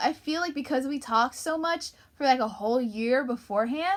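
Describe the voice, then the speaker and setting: Raising and projecting her voice, a woman talks at a fairly quick pace in a bright, sharp, animated tone with very wide pitch swings. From US Northeast (Long Island, New York). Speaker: YouTuber / livestreamer. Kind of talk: casual chat. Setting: livestream.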